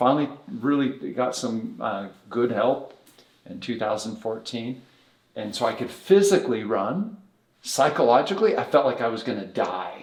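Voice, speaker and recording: An ordinary speaking voice from a man, medium in pitch, at a moderate pace with lively intonation. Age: 60s. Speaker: bodywork therapy director. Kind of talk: podcast interview. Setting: podcast recording in Las Vegas.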